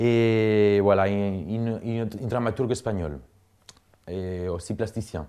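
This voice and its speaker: A man with a Spanish accent talks at a fairly slow pace in a fairly low voice with ordinary pitch variation. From Spain, Cuenca (Castile). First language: Spanish (speaking French). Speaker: artist and dancer. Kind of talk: interview, personal story. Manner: halting, many fillers and repetitions.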